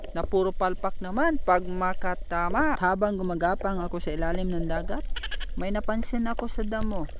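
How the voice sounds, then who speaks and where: Noticeable background noise sits behind a man speaking at a moderate pace. His pitch is high, with ordinary pitch variation. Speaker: underwater fishing vlogger. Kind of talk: vlog narration with a pitchman's patter, playful spearfishing commentary.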